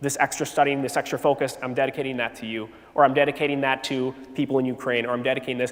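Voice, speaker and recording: The man's delivery is very rapid. Behind his words, background noise is clearly noticeable. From Wisconsin, US Midwest. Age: 30s. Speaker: teacher giving a faith talk at a youth retreat. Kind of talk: faith testimony talk to teenagers. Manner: casual, halting with fillers.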